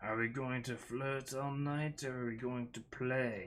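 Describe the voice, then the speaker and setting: In a put-on character voice, a man speaks at a fairly slow pace with medium pitch and monotone, flat intonation against a quiet background. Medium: read story. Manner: sneering, impatient.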